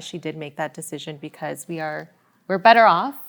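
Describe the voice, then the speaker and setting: Using an unremarkable speaking voice, a woman with a Canadian accent and a fairly low pitch talks at a fairly quick pace. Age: 30s. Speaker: daughter in interview. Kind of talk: interview.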